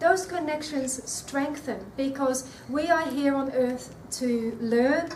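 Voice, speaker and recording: A woman with an Australian accent speaks at a very slow pace in a high pitch with ordinary pitch variation. Audible room echo and noticeable background noise fill the recording. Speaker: nutrition speaker. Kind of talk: talk to an audience. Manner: hesitant, repeats words.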